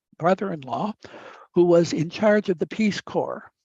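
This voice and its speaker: The speech has an Upper Midwest accent and a moderate pace. The background is quiet. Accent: upper Midwest American. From US Midwest. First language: Italian. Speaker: professor. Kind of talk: lecture. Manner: halting.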